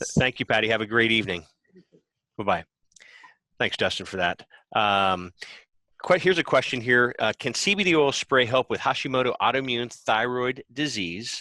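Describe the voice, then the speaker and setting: A man's medium-pitched voice with an American accent, bright and sharp in tone, with lively intonation at a moderate pace, long, frequent pauses, and a dry, close sound with no echo. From United States. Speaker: podcast host. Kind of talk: live Q&A hosting.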